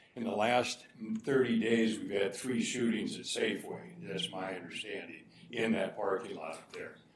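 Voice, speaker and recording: The speech runs at a moderate pace with ordinary pitch variation, set against noticeable background noise and audible room echo. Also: man. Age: 70s. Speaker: public commenter at council meeting. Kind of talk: public comment. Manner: halting.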